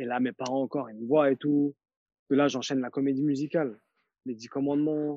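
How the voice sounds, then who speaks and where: A man's fairly high, monotone voice at a fairly quick pace, with big swings in loudness and long, frequent pauses, in a dry, close recording with no echo and a quiet background. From France, grew up in a housing estate, Turkish family. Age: 40s. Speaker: dancer and photographer. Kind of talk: interview, casual chat.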